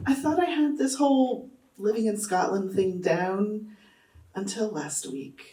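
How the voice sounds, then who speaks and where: Lively intonation from a woman, with audible room echo. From Texas. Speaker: academic doing stand-up comedy. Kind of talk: stand-up. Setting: stage with audience.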